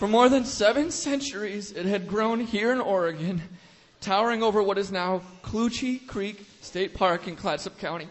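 With ordinary pitch variation and a high pitch, a man talks at a moderate pace. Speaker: radio-theater performer. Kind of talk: scripted comic monologue. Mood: mock accusatory, comic. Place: stage.

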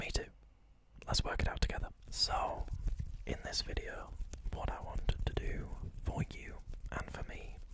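A man whispers with long, frequent pauses. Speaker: ASMR creator. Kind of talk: ASMR positive affirmations for relaxation and sleep. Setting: close microphone, cupped whispers. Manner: whispered, soft-spoken, slow. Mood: calm, reassuring. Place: home room. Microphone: studio mic.

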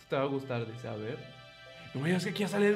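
A man talks in a slightly mellow tone. Faint music plays in the background.

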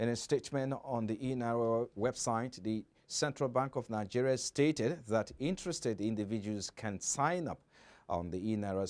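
An ordinary speaking voice with lively intonation at a moderate pace. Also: man. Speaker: news anchor. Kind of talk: news reading. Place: studio. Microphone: lapel.

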